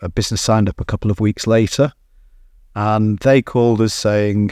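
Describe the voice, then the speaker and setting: In a British accent, a man speaks on a very clean recording with a silent background and a dry, close sound with no echo. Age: 50s. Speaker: business co-founder. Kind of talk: interview.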